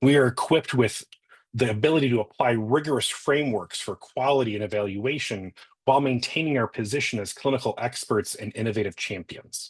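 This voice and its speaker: This man has an ordinary speaking voice at a medium pitch. He talks at a fairly quick pace with ordinary pitch variation. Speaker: nurse educator and clinical nurse specialist. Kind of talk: conference presentation.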